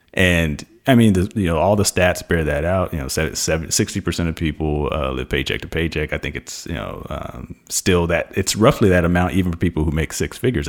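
Fairly quick and lively in intonation, a man speaks with a very deep, low pitch and vocal fry. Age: 30s. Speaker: personal finance author and podcast host. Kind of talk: interview.

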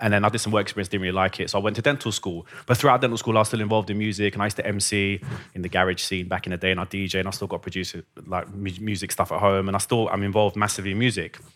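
Speaking very fast with a London accent, a man has a fairly low pitch. The recording is very clean, with a silent background. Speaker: dentist. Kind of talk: interview. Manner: animated.

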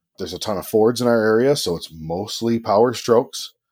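The recording is very clean, with a silent background. An ordinary speaking voice talks at a moderate pace. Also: man. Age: 30s. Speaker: auto technician. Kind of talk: casual chat.

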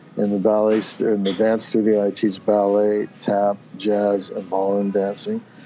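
Noticeable background noise sits behind a man's voice. He speaks at a fairly low pitch in a flat monotone. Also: moderate pace. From US Pacific Northwest (Oregon, Washington). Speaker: dance, music and arts studio founder. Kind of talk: casual interview. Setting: video call.

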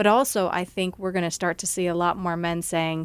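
A woman speaks in a normal speaking voice at medium pitch and a fairly quick pace. The recording is very clean, with a silent background. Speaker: podcast host. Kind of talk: casual chat; podcast intro. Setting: studio with ambient noise.

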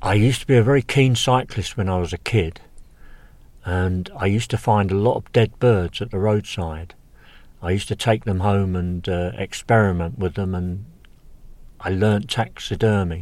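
A man with an English accent and fairly low pitch speaks at a moderate pace with ordinary pitch variation, on a very clean recording with a silent background. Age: 60s. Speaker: birdwatcher. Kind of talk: casual chat. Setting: outdoors.

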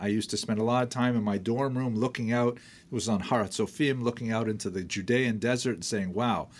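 A man with a Canadian accent talks at a fairly quick pace and medium pitch in an unremarkable speaking voice. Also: very clean recording, silent background. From northern Ontario, Canada. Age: 60s. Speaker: historian and college dean. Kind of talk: interview storytelling.

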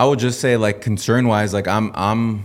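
Recorded very cleanly against a silent background, an unremarkable speaking voice with an American accent moves at a moderate pace with fairly even intonation. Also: man. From Washington State, US Pacific Northwest. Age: young. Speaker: hunter and digital ads specialist. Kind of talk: casual chat.

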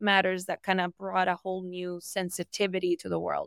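A woman talks at a medium pitch and a moderate pace. The recording is very clean with a silent background and a dry, close sound with no echo. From Colombia. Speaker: startup founder and cultural intelligence expert. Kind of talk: podcast interview.

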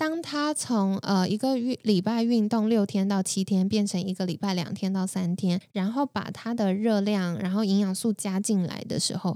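A woman speaks with a dark, mellow tone at medium pitch and with ordinary pitch variation. She keeps a moderate pace with hardly any pauses. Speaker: health coach and podcaster. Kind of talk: casual chat. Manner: animated.

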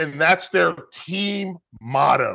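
A man speaks with an American accent and a bright, sharp tone. His intonation is lively, and the background is quiet. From North Carolina (Charlotte, Fayetteville). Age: 30s. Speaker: college football podcast host, former college player. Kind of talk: casual sports chat. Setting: video call.

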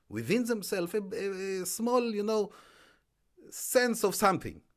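Using an Israeli accent, a man with a high pitch talks at a moderate pace. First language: Hebrew. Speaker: entrepreneur and author. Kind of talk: interview. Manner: halting.

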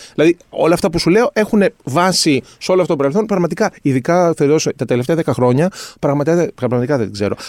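Fairly high-pitched for a man, this unremarkable speaking voice moves at a fairly quick pace with lively intonation and very even loudness, in a dry, close sound with no echo. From Greece, northern Athens suburbs. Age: 50s. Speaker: concept maker. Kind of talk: casual chat.

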